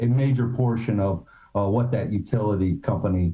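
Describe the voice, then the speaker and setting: A man's dark, mellow tone, somewhat breathy, at a moderate pace. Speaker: city planning staff. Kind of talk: staff presentation at public meeting. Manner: soft-spoken.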